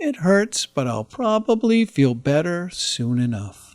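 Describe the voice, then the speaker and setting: A put-on character voice from a man, high-pitched, at a fairly slow pace, with very wide pitch swings. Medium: read story. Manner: friendly, gentle.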